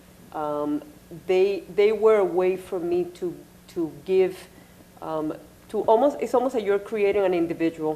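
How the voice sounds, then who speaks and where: Spoken in a Spanish accent at a fairly slow pace, the speech has long, frequent pauses. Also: woman, medium pitch for a woman, ordinary pitch variation. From Puerto Rico. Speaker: artist. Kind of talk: panel discussion. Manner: halting.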